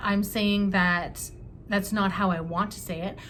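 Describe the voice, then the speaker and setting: Speaking at a fairly slow pace, a woman keeps a monotone, flat intonation. Audible room echo fills the recording. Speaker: tarot reader. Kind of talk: tarot reading to camera. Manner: halting, many fillers.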